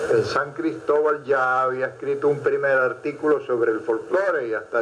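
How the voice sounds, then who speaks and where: The speaker is male. Background noise is clearly audible behind him. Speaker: musician and folklore researcher. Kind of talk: interview answer.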